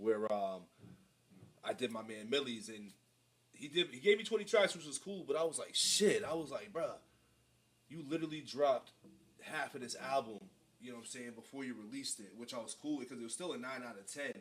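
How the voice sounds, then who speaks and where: A man with an American accent speaks with long, frequent pauses, very wide pitch swings and big swings in loudness. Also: fairly high pitch for a man, fairly quick pace. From Boston area, US. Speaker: music reaction streamer. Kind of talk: live-stream reaction commentary. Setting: live stream. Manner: loud, projecting; casual slangy.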